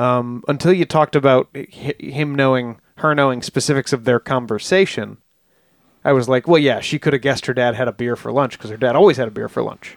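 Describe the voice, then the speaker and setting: A man in a normal speaking voice at a fairly quick pace, ordinary pitch variation, very clean recording with a silent background, dry and close with no echo. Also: medium pitch for a man. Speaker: podcast co-host. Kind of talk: casual chat.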